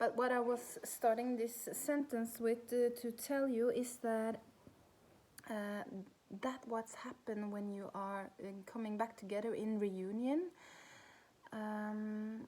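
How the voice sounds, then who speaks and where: Speaking very slowly with long, frequent pauses, a woman with a Norwegian accent has a fairly high pitch. Her tone is dark and mellow, and her intonation fairly even. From Norway. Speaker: spiritual coach. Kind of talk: personal vlog talk. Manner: halting.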